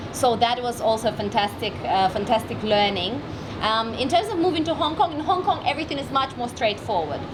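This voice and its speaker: A woman's fairly high voice with lively intonation at a moderate pace, amid audible room echo and noticeable background noise. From Russian Far East, Vladivostok. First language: Russian. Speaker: entrepreneur and marketing expert. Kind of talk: interview. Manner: loud; energetic.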